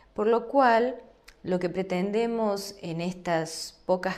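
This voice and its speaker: A woman with an Argentine accent speaks at a very slow pace and a medium pitch, with ordinary pitch variation. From Argentina. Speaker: law lecturer. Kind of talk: lecture.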